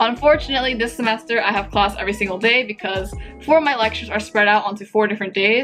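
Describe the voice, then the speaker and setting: With music playing behind her, a woman speaks at a medium pitch with an American accent. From Japanese-American. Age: 20s. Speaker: university student. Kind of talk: casual talk to camera.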